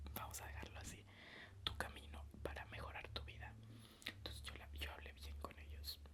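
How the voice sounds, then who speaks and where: Noticeable background noise is present throughout. Fairly even intonation goes with a moderate pace. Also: man, very deep, low pitch for a man. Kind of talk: casual ASMR talk to camera, reflective. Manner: soft-spoken, whispering.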